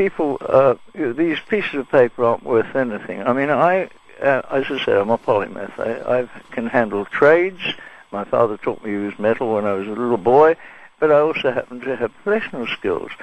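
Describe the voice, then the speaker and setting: A man's lively, fairly quick speech against noticeable background noise. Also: medium pitch for a man. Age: 80s+. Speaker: caller. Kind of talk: phone-in call. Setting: phone call.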